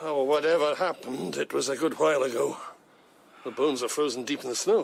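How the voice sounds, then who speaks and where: Putting on a character voice, a man rattles along at a very fast pace, raspy and fairly high in pitch. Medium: audio drama. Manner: wary.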